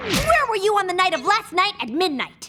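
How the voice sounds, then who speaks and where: A female-sounding, cartoonish character voice is pitched extremely high. It moves at a moderate pace. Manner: theatrical, refined.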